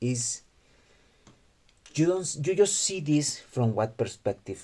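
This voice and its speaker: A man's dark, mellow, somewhat breathy voice at a fairly slow pace. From Mexico. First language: Spanish. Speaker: gaming youtuber. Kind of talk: video commentary monologue. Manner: halting, with fillers and restarts.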